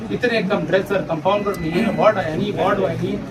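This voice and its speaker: Noticeable background noise sits behind a man speaking in a high pitch. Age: 60s. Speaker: civil surgeon (government doctor). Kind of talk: news interview.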